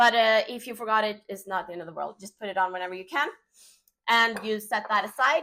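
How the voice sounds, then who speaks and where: Woman with a Swedish accent, fairly high-pitched and bright, sharp in tone, at a fairly quick pace with ordinary pitch variation, in a very clean recording with a silent background. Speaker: home cook, cooking channel host. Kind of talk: cooking tutorial. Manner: casual, frequent filler 'uh'.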